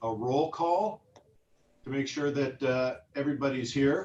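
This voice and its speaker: The man's pitch sits in the medium range. His pace is very slow. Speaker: park board president. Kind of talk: formal meeting chairing. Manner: loud; hesitant, many fillers. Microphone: sounds quieter due to distance.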